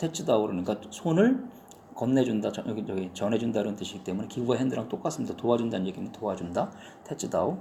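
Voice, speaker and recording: Audible room echo surrounds a man who talks very fast in a medium pitch with lively intonation. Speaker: Japanese language teacher. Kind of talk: lecture. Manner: casual, with hesitations.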